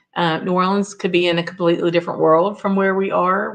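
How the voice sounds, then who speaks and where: A woman talks with a Southern US accent. Her intonation is fairly even. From US South. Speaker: whisky reviewer, guest host of a live show. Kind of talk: live stream chat, reading viewer comments. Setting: live stream with chat.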